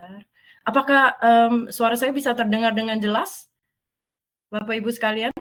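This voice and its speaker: A woman speaks at a moderate pace in a fairly high pitch, with fairly even intonation. Her loudness swings widely, and she takes long, frequent pauses. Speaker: software product specialist. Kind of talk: webinar product demo. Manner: hesitant, many filler sounds.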